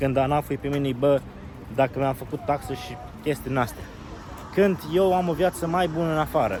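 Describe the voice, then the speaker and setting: A man with a Moldavian accent speaks at a fairly quick pace but with long, frequent pauses. His pitch is fairly high with ordinary variation, and noticeable background noise is present. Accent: Moldavian Romanian. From Romania, Moldavia region. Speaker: travel vlogger. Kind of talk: casual vlog monologue. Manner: casual, conversational.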